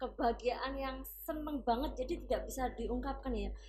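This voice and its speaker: Room echo is audible in this clip. A woman speaks at a moderate pace. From Tuban, East Java. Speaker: English and Mandarin teacher. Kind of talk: interview.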